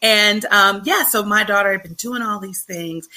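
Bright and sharp in tone, a woman with an American accent talks at a moderate pace with lively intonation. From Chicago. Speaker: pediatrician. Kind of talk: panel discussion.

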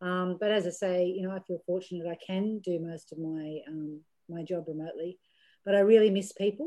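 Fairly quick and with an Australian accent, a woman speaks at a medium pitch, her intonation fairly even while her loudness swings widely. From Australia, rural New South Wales–Victoria border. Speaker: businesswoman and board chair. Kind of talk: interview.

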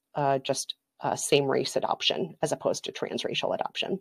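On a very clean recording with a silent background and a dry, close sound with no echo, a woman with an American accent speaks at a moderate pace in a very deep, low voice. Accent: Minnesotan, noted by listeners. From Minnesota. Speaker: podcaster and culture critic. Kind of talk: interview.

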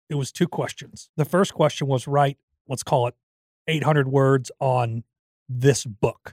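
A man's somewhat breathy, fairly high-pitched voice with fairly even intonation, in a dry, close sound with no echo. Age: 40s. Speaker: podcast co-host. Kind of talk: casual chat. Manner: laughs often.

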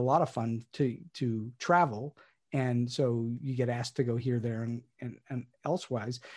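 Against a quiet background, a man talks at a medium pitch. His pitch variation is ordinary. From Pittsburgh, US. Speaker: playwright and screenwriter. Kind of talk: interview conversation. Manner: halting with fillers.

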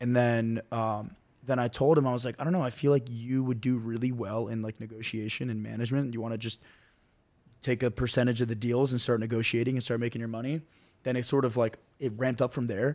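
In an American accent, the speaker talks at a very fast pace with fairly even intonation. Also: man, medium pitch for a man. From North Carolina. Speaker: social media cooking creator. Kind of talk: casual chat.

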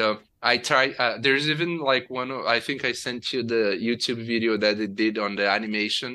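In a very clean recording with a silent background, a man with a Portuguese accent talks at a moderate pace, his medium-pitched voice bright and sharp in tone with fairly even intonation. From Brazil, state of Rio de Janeiro (Nova Friburgo). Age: 30s. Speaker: software engineer, former oil rig worker. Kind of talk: interview.

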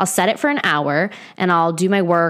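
A woman talks at a fairly quick pace in a fairly low pitch, with an ordinary speaking voice. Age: 20s. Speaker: wellness podcast host. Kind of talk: casual solo podcast monologue. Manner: casual, chatty with laughs and sighs.

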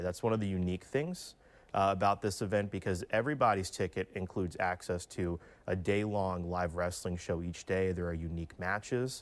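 A man with a very deep, low pitch and fairly even intonation is heard on a very clean recording with a silent background. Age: 20s. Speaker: wrestling convention founder. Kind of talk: interview.

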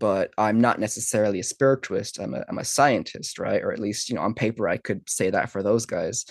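In a dry, close sound with no echo, a man talks at a fairly quick pace with hardly any pauses. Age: 30s. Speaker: neuroscientist. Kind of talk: interview conversation. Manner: hesitant, many fillers.

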